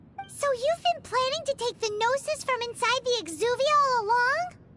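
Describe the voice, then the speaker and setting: A put-on character voice at an extremely high pitch moves at a moderate pace over clear music in the background. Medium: video game.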